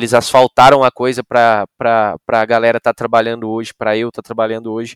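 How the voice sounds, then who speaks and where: A man talks at a medium pitch. The recording is very clean with a silent background and a dry, close sound with no echo. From Brazil, Rio Grande do Sul (Novo Hamburgo). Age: 20s. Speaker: music show production manager. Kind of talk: podcast interview.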